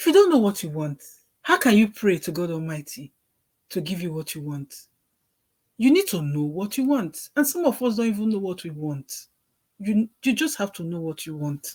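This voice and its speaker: Somewhat breathy at a medium pitch, a woman talks at a moderate pace with very wide pitch swings, big swings in loudness, and long, frequent pauses. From Nigeria. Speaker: working mother. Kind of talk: book reading with commentary.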